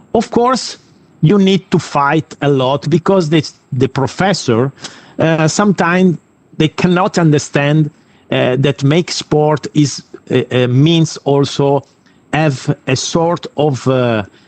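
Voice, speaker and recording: Someone speaks very slowly in an Italian accent. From Italy. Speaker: sports academy representative, former kickboxer. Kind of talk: invited talk. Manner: halting, many fillers.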